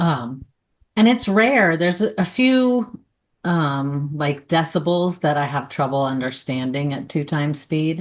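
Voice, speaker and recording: Against a quiet background, a woman with an American accent talks at a fairly slow pace in a very deep, low voice, her intonation lively. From US South. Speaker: podcast co-host. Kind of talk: casual chat.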